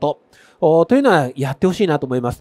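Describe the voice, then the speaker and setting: The background is quiet as a man talks very fast. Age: 50s. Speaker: landscape photographer; presenter. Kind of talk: stage talk. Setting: stage with audience. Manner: casual, with many fillers. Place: stage.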